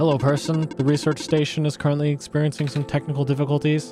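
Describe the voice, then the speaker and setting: A robotic, put-on character voice at a very fast pace over clear music in the background. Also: man, fairly high pitch for a man. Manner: polite, formal.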